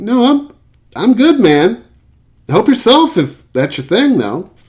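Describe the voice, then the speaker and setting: In a put-on character voice, a man speaks high and squeaky at a fairly slow pace. His pitch makes very wide swings. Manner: awkward.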